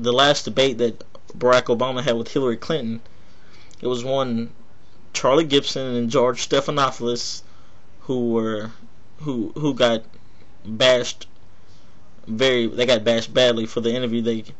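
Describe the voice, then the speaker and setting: A man with an American accent and a medium pitch speaks at a moderate pace, leaving long, frequent pauses, with audible room echo. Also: fairly even intonation. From Texas. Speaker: political video blogger. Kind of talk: political commentary monologue.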